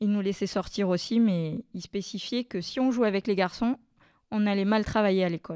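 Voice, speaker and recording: On a very clean recording with a silent background, a woman speaks with a dark, mellow tone. The sound is dry and close with no echo, and her intonation stays fairly even. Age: 40s. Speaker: childcare worker sharing testimony. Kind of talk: testimony.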